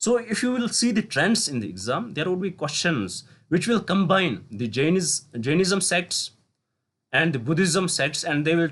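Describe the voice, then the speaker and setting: A man with a Kashmiri accent speaks at a moderate pace. His voice is high for a man, with lively intonation. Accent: Indian English, Kashmiri. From Kashmir, North India. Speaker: teacher. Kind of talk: lecture. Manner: halting, with self-corrections.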